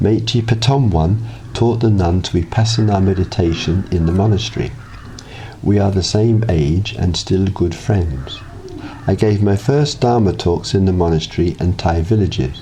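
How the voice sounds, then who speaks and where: Over noticeable background noise, a man with a very deep, low pitch speaks at a moderate pace, his intonation lively and his loudness very even. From South London, England. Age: 60s. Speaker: meditation teacher. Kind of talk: scripted narration.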